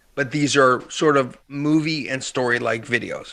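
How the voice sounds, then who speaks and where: With an American accent, a man talks at a fairly slow pace in a fairly high pitch, using fairly even intonation and a bright, sharp tone. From Pennsylvania, US. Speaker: business author and speaker. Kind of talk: podcast interview.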